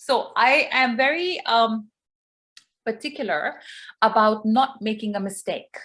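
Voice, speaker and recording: A woman's fairly high-pitched voice with a non-native accent, lively intonation, and long, frequent pauses. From Pakistani family, raised in Dubai. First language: not English. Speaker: English teacher. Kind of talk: online workshop talk.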